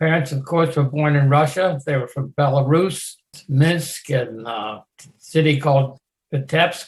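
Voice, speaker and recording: A man with an American accent speaks in a fairly high, somewhat breathy voice with fairly even intonation. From US, Maryland (Westminster, Carroll County). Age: 90s. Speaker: war veteran. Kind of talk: oral history interview.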